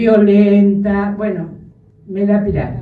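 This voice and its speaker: A woman's medium-pitched voice comes through with audible room echo. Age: 60s. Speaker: grandmother speaking at a congress. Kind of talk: public testimony speech. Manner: emotional, firm.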